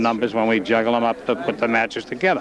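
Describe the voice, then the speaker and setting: A man speaks at a very fast pace. Noticeable background noise runs underneath. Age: 70s. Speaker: amateur boxing official. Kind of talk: interview. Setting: hotel before fight night.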